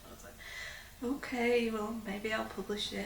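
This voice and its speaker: There is clear noise in the background. Through it, a woman talks at a moderate speed. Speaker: doctor. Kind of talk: interview answer.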